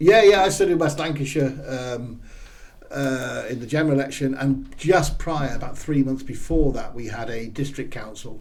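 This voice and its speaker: Amid noticeable background noise and audible room echo, a man talks at a moderate pace in a fairly high voice with ordinary pitch variation and big swings in loudness. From southern England, Swindon, Wiltshire. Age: 50s. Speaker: political candidate. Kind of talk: casual chat.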